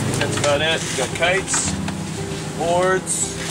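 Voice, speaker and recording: The pace is very slow. Loud background noise runs underneath. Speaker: kiteboard instructor. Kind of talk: casual vlog chat. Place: street. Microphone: camera far.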